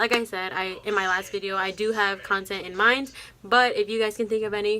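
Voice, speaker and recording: A loud woman with a bright, sharp tone, fairly high pitch and fairly quick pace. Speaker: college student vlogger. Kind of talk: casual vlog talk to camera. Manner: fast.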